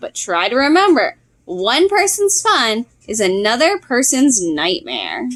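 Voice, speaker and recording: A woman uses a put-on character voice at a high pitch. She speaks at a fairly slow pace with very wide pitch swings. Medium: read story.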